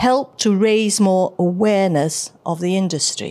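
A woman speaks at a very slow pace in a medium pitch. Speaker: panel moderator. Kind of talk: panel moderation. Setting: stage with audience. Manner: formal.

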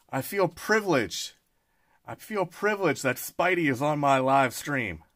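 At a moderate pace, a man speaks with ordinary pitch variation over a quiet background. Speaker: card collector streamer. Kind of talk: casual live stream chat. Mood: upbeat, excited. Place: home room.

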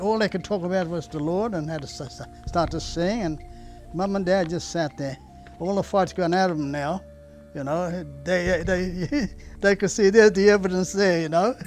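With faint music in the background, a man with a high pitch speaks at a moderate pace with ordinary pitch variation in a dry sound with no echo. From Australia. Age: 80s+. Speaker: retired Pentecostal pastor. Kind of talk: personal testimony interview. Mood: reflective, earnest storytelling. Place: garden. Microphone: lapel.

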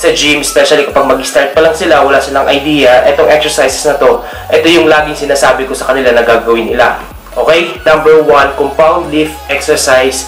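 A man at a fairly quick pace, audible room echo, and faint music in the background. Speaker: fitness coach. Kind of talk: tutorial. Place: home room. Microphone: phone near.

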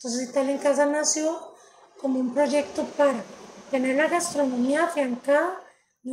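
Her voice is high for a woman, with a slightly mellow tone, fairly even intonation and a moderate pace.

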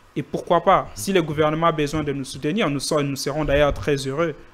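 Delivery is fast, with fairly even intonation. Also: man, fairly high pitch for a man.

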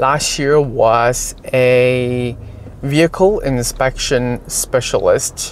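The sound is dry with no echo as a man talks at a very slow pace. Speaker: car channel host. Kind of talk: casual vlog chat. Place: car. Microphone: phone near.

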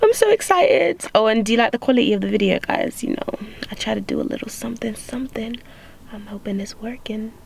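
A woman speaks at a fairly quick pace, her pitch swinging very widely. The sound is dry with no echo, over light background noise. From UK, of Ugandan heritage. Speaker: vlogger. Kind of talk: casual travel vlog.

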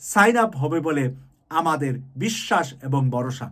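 A man's voice with lively intonation. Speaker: YouTube political commentator. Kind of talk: political commentary monologue.

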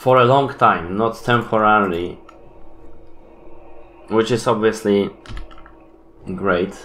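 Audible room echo surrounds a man's fairly low, fairly bright voice with ordinary pitch variation. He speaks at a slow pace with long, frequent pauses.

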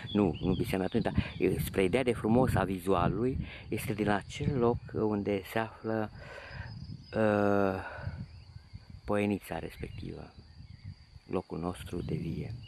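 With noticeable background noise but a dry sound with no echo, a man speaks at a fairly low pitch and fairly slow pace, using ordinary pitch variation and long, frequent pauses. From Romania, Transylvania (Bistrița area village); Transylvania, Romania. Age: 50s. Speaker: painter. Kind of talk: video diary narration. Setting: outdoors. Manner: animated. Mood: nostalgic, warm. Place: open country. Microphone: phone near.

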